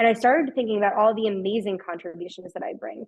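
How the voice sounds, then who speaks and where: Talking at a very fast pace, a woman with a strong Long Island accent uses a fairly high pitch and an animated tone. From New York, Long Island. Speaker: customer success executive. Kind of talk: webinar talk.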